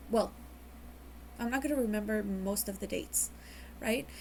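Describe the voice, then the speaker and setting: Speaking in a fairly high pitch, a woman keeps a moderate pace with ordinary pitch variation. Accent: Mexican. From Mexico. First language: Spanish. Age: 20s. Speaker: vlogger. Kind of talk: personal testimony. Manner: halting.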